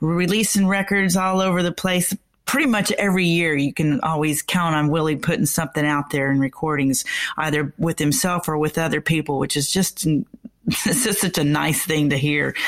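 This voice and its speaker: A woman with an American accent has a plain, everyday voice, speaking at a moderate pace in a fairly low pitch with ordinary pitch variation and very even loudness. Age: 60s. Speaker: music radio host and singer. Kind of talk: casual radio interview.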